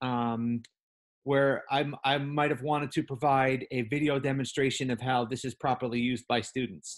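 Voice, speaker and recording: With fairly even intonation and a medium pitch, a man talks in a plain, everyday voice. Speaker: teacher trainer. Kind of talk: online training session. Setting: video call.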